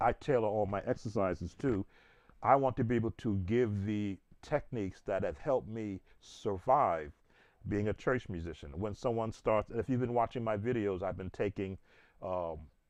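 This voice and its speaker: A man speaks in a plain, everyday voice, fairly low-pitched, at a moderate pace with ordinary pitch variation over a quiet background. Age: 60s. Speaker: gospel piano teacher and church musician. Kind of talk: informal tutorial chat. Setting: livestream while playing piano.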